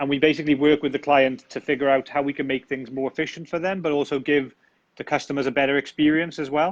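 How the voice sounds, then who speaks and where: A man with a British accent and a fairly high pitch, very fast and monotone, with flat intonation, a dry, close sound with no echo and a quiet background. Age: 30s. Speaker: tech company founder. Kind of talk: interview.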